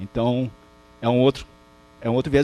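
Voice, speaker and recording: Here is a man talking. His pace is very fast. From Rio de Janeiro, Brazil (Botafogo, Zona Sul). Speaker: professor. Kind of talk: lecture. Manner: halting, many false starts.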